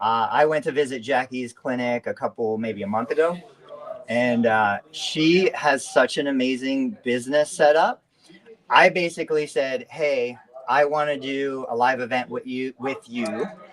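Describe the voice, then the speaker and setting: Noticeable background noise runs under a moderate-paced speaker with an American accent. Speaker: physical therapy billing educator, live show host. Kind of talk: live online chat with guest. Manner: animated.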